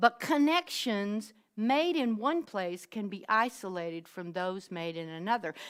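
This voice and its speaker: On a very clean recording with a silent background, a woman with a strong Southern US accent talks at a fairly slow pace with lively intonation. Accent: deep Southern US. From US South. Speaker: minister. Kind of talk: sermon.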